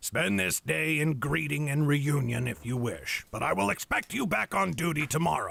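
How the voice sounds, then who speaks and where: In a put-on character voice, a man growls in a gruff, fairly high-pitched way, with lively intonation, very even loudness and a moderate pace. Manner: growling, gruff.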